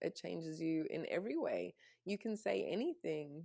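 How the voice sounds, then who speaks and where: A woman speaks with an Australian accent. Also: very clean recording, silent background. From Canada and Australia. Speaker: spiritual mentor. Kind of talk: casual chat.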